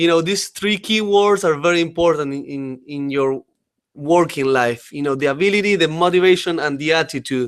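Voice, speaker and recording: This man has a fairly high voice and a strong Uruguayan accent. He speaks at a moderate pace with ordinary pitch variation. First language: Spanish. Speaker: company trainer presenting to staff. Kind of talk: webinar presentation. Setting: online webinar. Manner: halting, many fillers.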